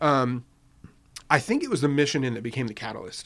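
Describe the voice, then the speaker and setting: A man with an American accent has an ordinary speaking voice and ordinary pitch variation. The recording is very clean, with a silent background. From Riverside, California (US West Coast). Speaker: newspaper founder. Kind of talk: casual chat. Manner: conversational, filler-heavy.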